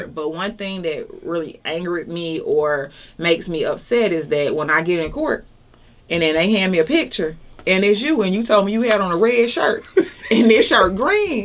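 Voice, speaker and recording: A woman speaks in an Atlanta accent at a moderate pace. Her pitch is medium and her intonation lively. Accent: Southern US (Atlanta). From Atlanta, Georgia. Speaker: judicial candidate, defense attorney. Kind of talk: interview answer.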